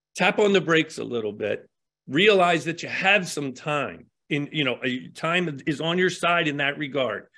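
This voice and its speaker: This voice has a bright, sharp tone, vocal fry and an American accent. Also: man, quiet background. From US, Baltimore, Maryland. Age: 60s. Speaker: tattoo artist. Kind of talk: interview.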